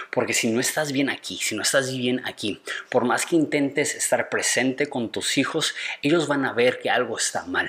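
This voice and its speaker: There is noticeable background noise. A man talks with fairly even intonation. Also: fairly high pitch for a man, moderate pace. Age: 30s. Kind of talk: advice monologue.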